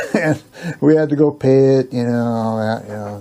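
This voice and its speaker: A man speaks at a very slow pace. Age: old. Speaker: storyteller. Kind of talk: casual personal storytelling.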